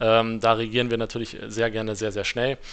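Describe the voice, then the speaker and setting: An unremarkable speaking voice from a man, medium in pitch, at a moderate pace. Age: 30s. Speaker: AI project manager at business development agency. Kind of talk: podcast interview.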